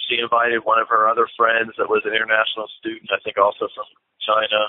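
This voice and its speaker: A man rushes along at a very fast pace, with light background noise behind him. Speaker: church planter. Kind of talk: interview answer. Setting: phone line. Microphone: phone line.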